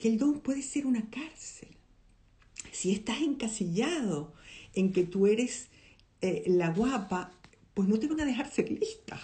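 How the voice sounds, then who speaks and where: An animated woman with lively intonation speaks at a fairly slow pace, somewhat breathy, with long, frequent pauses. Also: fairly high pitch for a woman. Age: old. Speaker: podcast host, film commentator. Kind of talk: casual monologue, film analysis.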